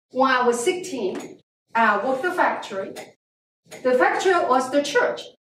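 In a room with audible echo, a woman speaks at a fairly slow pace, her high pitch carrying lively intonation. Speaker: guest. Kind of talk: lecture. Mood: earnest storytelling about hardship. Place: classroom. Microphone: camera far.

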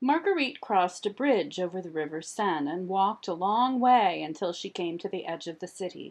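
Someone reads in an unforced voice, the intonation lively throughout.

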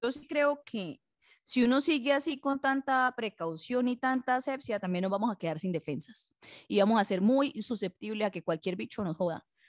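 A woman with high pitch and very wide pitch swings, in a dry, close sound with no echo. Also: quiet background. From Colombia, warm-climate region. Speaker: podcast co-host. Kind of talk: casual chat.

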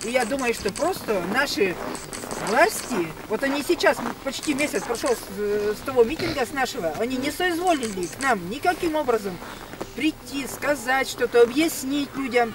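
A woman's high voice with lively intonation at a moderate pace, dry with no echo, over noticeable background noise. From Russia. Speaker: local resident activist. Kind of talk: public meeting speech. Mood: earnest, mildly indignant. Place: street. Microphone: camera far.

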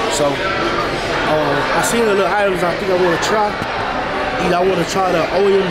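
A man's fairly slow speech competes with loud background noise. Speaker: food vlogger. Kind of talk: casual vlog chat. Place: bar.

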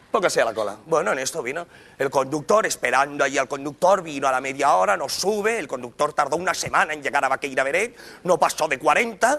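Very fast, a man speaks in a bright, sharp tone. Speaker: stand-up comedian. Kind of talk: comedy monologue. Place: stage. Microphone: lapel.

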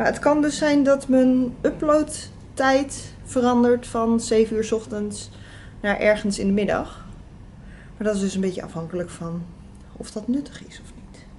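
A woman talks at a fairly slow pace in a fairly high, somewhat breathy voice with ordinary pitch variation. Light background noise can be heard. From Netherlands. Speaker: vlogger. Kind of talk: casual vlog talk to camera. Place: home room.

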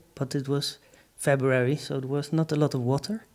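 Against a quiet background, a man talks at a fairly high pitch with ordinary pitch variation. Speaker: artist presenting work. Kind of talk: artist talk. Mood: relaxed, humorous storytelling. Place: hall. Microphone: handheld.

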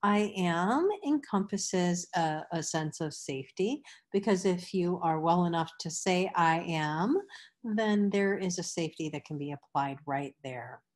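An ordinary speaking voice moves at a fairly slow pace with lively intonation against a quiet background. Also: woman, fairly low pitch for a woman. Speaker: meditation teacher. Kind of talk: instructional workshop. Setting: video class with participants.

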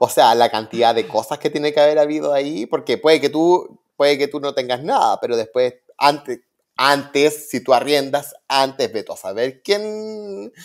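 On a very clean recording with a silent background, a man with an unremarkable speaking voice, a fairly high pitch and lively intonation talks at a moderate pace. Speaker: interior designer and podcast co-host. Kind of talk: casual chat.

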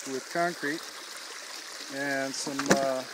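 Against noticeable background noise, a man speaks with fairly even intonation in a dry sound with no echo. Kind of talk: tutorial. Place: forest. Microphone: phone near.

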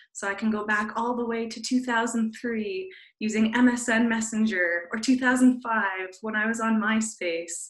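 A woman speaks at a fairly slow pace with fairly even intonation, against a quiet background with audible room echo. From Canada. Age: 20s. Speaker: social media content creator. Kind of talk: webinar presentation. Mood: friendly, relaxed. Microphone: video call.

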